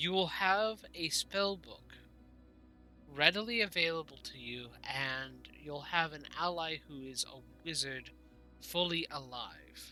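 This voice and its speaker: Clear background noise accompanies a put-on character voice at middle pitch, moving at a fairly slow pace with long, frequent pauses. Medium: actual play. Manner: polite, hesitant.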